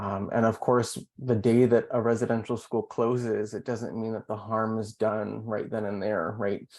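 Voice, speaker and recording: Moderate pace in a Canadian accent, monotone, flat intonation and hardly any pauses, against a quiet background. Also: man, medium pitch for a man. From Canada. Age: 30s. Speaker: pharmacy professor. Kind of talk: interview. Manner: calm.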